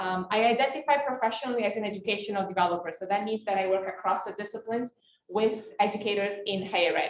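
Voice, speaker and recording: Using fairly even intonation, a woman talks very fast. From Italy. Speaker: educational developer. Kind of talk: panel discussion comment.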